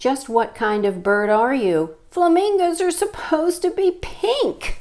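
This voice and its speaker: Using a put-on character voice, a woman speaks at an extremely high pitch with very wide pitch swings, a fairly slow pace and very even loudness. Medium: read story. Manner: insistent, squawking.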